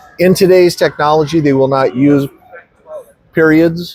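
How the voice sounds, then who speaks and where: With a normal speaking voice, a man talks at a moderate pace in a fairly high pitch, his intonation fairly even. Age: 60s. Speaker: actor. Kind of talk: interview. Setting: convention.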